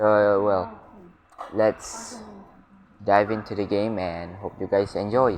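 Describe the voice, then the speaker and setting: A man with a non-native accent, very slow and flat in a monotone, with long, frequent pauses. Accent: non-native English accent, noted by self. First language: not English. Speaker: gaming YouTuber. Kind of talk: casual let's-play commentary. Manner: hesitant, many fillers.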